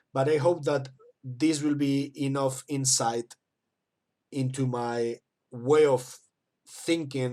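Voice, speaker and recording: A man's medium-pitched voice with a non-native accent and monotone, flat intonation. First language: not English. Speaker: miniature painting teacher. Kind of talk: tutorial. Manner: halting.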